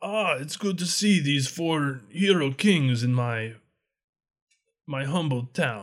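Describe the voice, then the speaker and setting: Using a put-on character voice, a man speaks at a fairly high pitch and a fairly slow pace, with long, frequent pauses. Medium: actual play. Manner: smooth, self-assured, lightly mocking.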